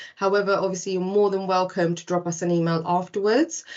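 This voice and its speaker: A woman speaks with a British accent. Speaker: recruitment presenter. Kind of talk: webinar presentation. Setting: online webinar.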